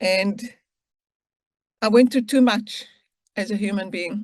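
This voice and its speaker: A woman's fairly high-pitched voice comes across as somewhat breathy. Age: 60s. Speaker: freed hostage. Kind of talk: testimony.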